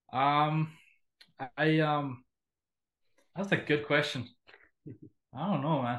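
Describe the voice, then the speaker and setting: Very slowly and with long, frequent pauses, a man speaks in a fairly high pitch with fairly even intonation. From Finland, also lived in Russia. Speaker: death metal musician. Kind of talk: casual interview.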